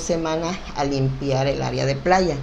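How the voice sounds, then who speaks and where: The speech is very slow, with ordinary pitch variation, noticeable background noise and audible room echo. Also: woman. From Mexico, Acapulco (Guerrero coast). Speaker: local business association leader. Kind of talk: casual interview. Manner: animated.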